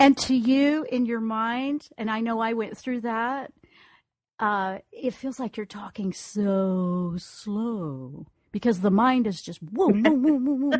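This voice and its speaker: Somewhat breathy, a woman with a fairly high pitch and an American accent speaks at a very slow pace with lively intonation. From US South. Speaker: radio host and intuitive counselor. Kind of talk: call-in radio reading.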